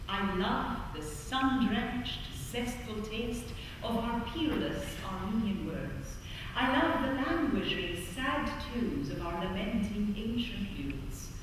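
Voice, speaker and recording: Lively in intonation, a woman with a fairly high pitch speaks amid strong room echo and noticeable background noise. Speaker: spoken word performer. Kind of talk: poetry reading. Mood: emotional, longing. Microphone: camera far.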